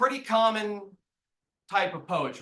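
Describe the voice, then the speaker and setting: A man's raised, projected voice in an American accent, high in pitch with a bright, sharp tone. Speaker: researcher presenting a study. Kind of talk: academic talk.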